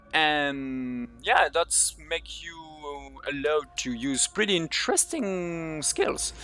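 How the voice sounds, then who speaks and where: A non-native accent is heard. The delivery is very slow in pace. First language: not English. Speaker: speedrunner. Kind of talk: live gameplay commentary. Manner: halting.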